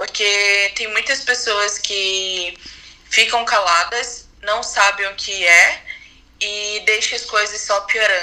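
Noticeable background noise accompanies a woman at a medium pitch. She talks at a very slow pace with fairly even intonation. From Brazil, Manaus. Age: 20s. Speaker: podcast guest sharing mental health experience. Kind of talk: personal testimony.

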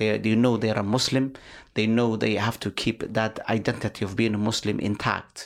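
Speaking with a Somali accent, a man with a fairly low voice keeps a moderate pace, very even loudness and monotone, flat intonation. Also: very clean recording, silent background. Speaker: life coach and community activist. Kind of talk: interview conversation. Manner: formal, lecturing, mentor-like.

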